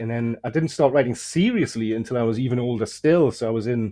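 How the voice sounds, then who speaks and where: The speech comes very fast in an English accent. Its pitch variation is ordinary. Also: man. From England, German-speaking early childhood. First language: German. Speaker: horror fiction author. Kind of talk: casual interview chat. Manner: halting, many fillers.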